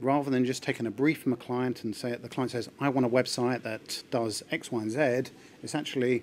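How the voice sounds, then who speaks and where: Light background noise sits under the recording. A man speaks at a fairly quick pace. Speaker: conference presenter. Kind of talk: conference talk. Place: hall.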